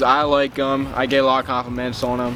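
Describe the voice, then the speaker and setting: Music plays behind a man. His voice is at a medium pitch. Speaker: car enthusiast YouTuber. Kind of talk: casual vlog tutorial. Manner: halting, many fillers.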